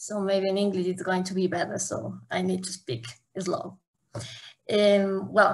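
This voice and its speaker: Somewhat breathy and with fairly even intonation, a woman speaks in an Ecuadorian accent at a fairly slow pace with long, frequent pauses. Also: medium pitch for a woman. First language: Spanish. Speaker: academic and zero waste activist. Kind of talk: conference panel talk.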